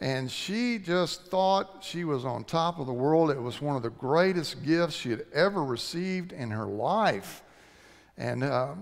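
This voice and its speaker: The pace is fairly slow and the intonation lively. A man talks over a quiet background. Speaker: preacher. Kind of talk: sermon. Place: church.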